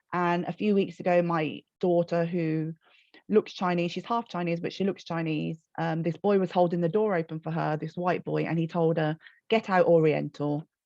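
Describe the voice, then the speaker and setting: A woman with a Birmingham accent, fairly low in pitch and dark, mellow in tone, in monotone, flat intonation, with a dry, close sound, no echo and a quiet background. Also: moderate pace. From Birmingham, England. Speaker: children's author. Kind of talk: panel discussion.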